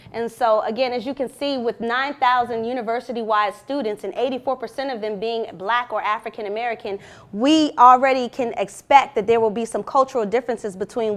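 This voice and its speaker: In an ordinary speaking voice, a woman with a fairly high pitch talks at a fairly quick pace with ordinary pitch variation. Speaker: university lecturer. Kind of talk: academic presentation. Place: classroom.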